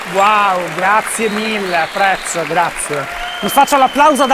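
A raised, projected voice at a very slow pace, ordinary pitch variation, crowd noise in the background. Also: man. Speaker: interviewer, video host. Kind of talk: interview. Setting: stage with audience.

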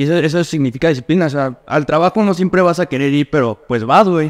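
This man talks at a fairly quick pace in a fairly high pitch with ordinary pitch variation over a quiet background. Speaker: nutritionist and fitness coach; fitness coach. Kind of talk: casual chat. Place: home room.

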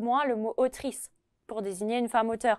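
With a quiet background, a woman with a high pitch speaks at a moderate pace and fairly even intonation. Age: 20s. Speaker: history PhD student; guest. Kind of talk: lecture. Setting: retirement residence with residents present. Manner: hesitant, many filler sounds. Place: studio. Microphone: lapel.

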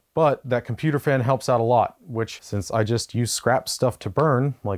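A man talks at a moderate pace. Little sound comes from behind him. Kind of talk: tutorial. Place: garage. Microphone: lapel.

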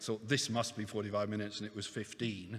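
A man speaks at a moderate pace. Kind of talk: opening speech. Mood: warm, lightly humorous. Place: hall. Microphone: podium.

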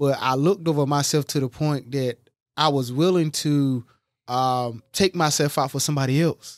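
A man with a fairly high voice speaks at a fairly slow pace with ordinary pitch variation, recorded very cleanly with a silent background and a dry, close sound with no echo. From Eastern North Carolina. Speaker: life coach and podcast host. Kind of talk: casual chat. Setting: studio.

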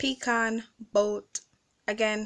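A woman speaks very slowly at a fairly high pitch. The background is quiet. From Caribbean. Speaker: vlogger. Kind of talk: casual talk to camera, accent tag word list and questions. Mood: playful, laughing. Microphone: phone near.

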